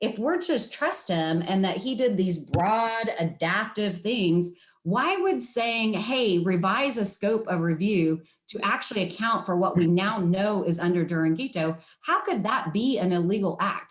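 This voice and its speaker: An ordinary speaking voice from a woman at medium pitch, with ordinary pitch variation, very even loudness and a fairly slow pace. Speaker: attorney. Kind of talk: oral argument before appeals court. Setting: video call.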